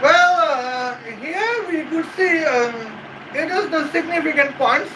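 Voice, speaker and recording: Amid noticeable background noise and audible room echo, a man with an extremely high voice speaks in a raised, projected voice with a Bengali accent. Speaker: YouTube commentator. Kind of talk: casual commentary. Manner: halting, many fillers.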